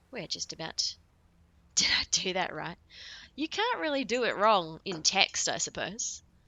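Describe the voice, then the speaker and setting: A woman with an Australian accent, at a fairly slow pace with long, frequent pauses. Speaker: video game streamer. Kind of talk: live game commentary. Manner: casual.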